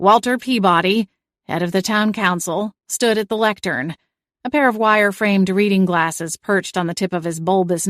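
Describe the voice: Plain reading aloud with ordinary pitch variation and a quiet background.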